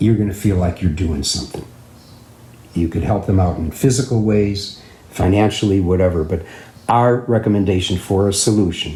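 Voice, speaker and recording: A moderate pace and ordinary pitch variation over noticeable background noise. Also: man, fairly low pitch for a man. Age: 70s. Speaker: musician and live stream host. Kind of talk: casual live stream talk. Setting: live stream.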